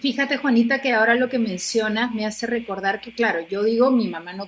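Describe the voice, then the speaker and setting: Over noticeable background noise, a woman talks at a fairly quick pace. Her pitch is fairly high, with ordinary variation. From Argentina. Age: 50s. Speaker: TV presenter and actress. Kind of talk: personal testimony in interview.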